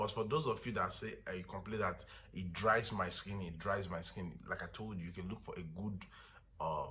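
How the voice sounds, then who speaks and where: With audible room echo, a man speaks in a fairly low voice with a bright, sharp tone and ordinary pitch variation. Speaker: skincare product seller. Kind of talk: product tutorial. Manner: fast.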